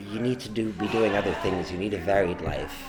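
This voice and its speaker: Music plays in the background while a man speaks at a fairly quick pace. Audible room echo surrounds his voice. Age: 30s. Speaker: pub-goer interviewee. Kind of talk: group discussion. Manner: halting.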